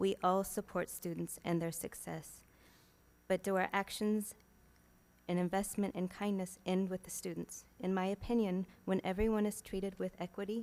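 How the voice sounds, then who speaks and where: Soft-spoken and monotone, a woman talks with flat intonation at a moderate pace. Her pitch is medium. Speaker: school staff, public commenter. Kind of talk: public comment, reading prepared statement. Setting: school board meeting.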